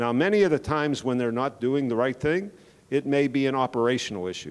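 The speech moves at a very fast pace. Pitch varies in an ordinary way. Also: man. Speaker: presenter. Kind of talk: lecture. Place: hall. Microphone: handheld.

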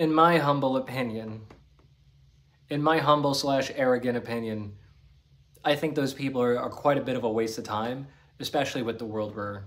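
Ordinary pitch variation marks a man's moderately paced speech. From New Jersey / Staten Island, US; New Jersey. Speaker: spiritual healer and YouTuber; spiritual vlogger. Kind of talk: solo monologue to camera. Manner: casual. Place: home room. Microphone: phone near.

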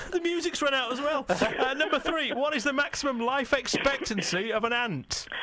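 A man speaks in a raised, projected voice at an extremely high pitch, moving at a moderate pace with hardly any pauses. His pitch varies in an ordinary way, and there is light background noise. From Lancashire, England. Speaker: radio breakfast show presenter. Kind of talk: radio show presenter banter and quiz hosting. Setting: radio studio broadcast. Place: studio. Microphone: studio mic.

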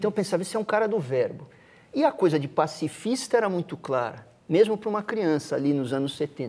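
A man's high-pitched voice at a fairly quick pace, with very wide pitch swings. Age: 50s. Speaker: musician. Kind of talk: casual chat.

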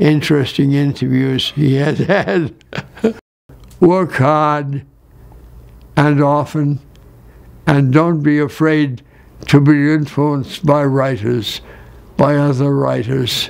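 A man speaks at a very slow pace, with fairly even intonation and long, frequent pauses. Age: 80s+. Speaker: radio writer and director. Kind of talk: interview answer. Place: home room.

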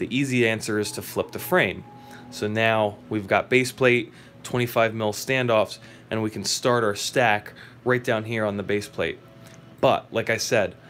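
Music plays in the background as a man speaks at a fairly slow pace with fairly even intonation. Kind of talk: tutorial. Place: workshop. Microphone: phone near.

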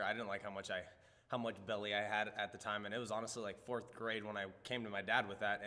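With an American accent, a man talks at a very fast pace in a fairly low pitch with a bright, sharp tone. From Nebraska, US Midwest. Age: 20s. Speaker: martial artist; interviewee. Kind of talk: interview. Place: studio.

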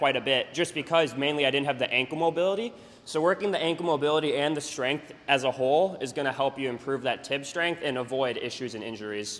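This man talks at a very fast pace with hardly any pauses. His pitch is fairly high for a man, with ordinary variation. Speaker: jump training coach. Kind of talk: casual workout instruction. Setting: gym. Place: gym.

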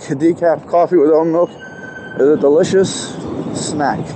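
A man speaks in a high voice. The sound is dry with no echo, though background noise is noticeable. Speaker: rider vlogger. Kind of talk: casual vlog chat. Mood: relaxed, joking. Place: street. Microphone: lapel.

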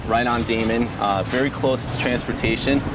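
The man's voice is dry, with no echo, while loud background noise surrounds it. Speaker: real estate agent tour guide. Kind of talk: interview answer. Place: street. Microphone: phone near.

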